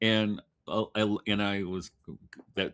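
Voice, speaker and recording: A man speaks with a bright, sharp tone and vocal fry. The recording is very clean, with a silent background. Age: 60s. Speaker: writer and farmer. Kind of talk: casual chat.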